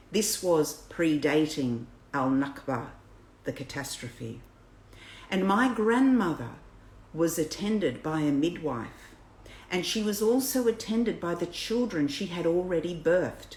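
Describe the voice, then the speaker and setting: A woman's fairly low voice in an Australian accent, swinging very widely in pitch, at a fairly slow pace with long, frequent pauses. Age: 60s. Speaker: birth educator. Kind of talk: reading aloud. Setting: livestream.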